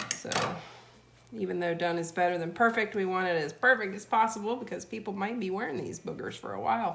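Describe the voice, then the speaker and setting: A woman with an American accent speaks at a medium pitch with ordinary pitch variation while noticeable background noise runs underneath. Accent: Southern US, comes and goes, sometimes heavy. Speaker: DIY video maker. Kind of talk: tutorial. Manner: casual, chatty.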